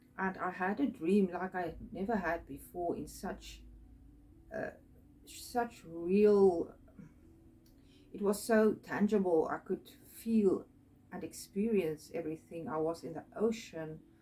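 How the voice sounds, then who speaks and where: A woman's medium-pitched voice with a non-native accent, fairly slow with long, frequent pauses and ordinary pitch variation. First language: not English. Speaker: spiritual artist and video creator. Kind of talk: personal storytelling monologue. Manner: halting, many fillers.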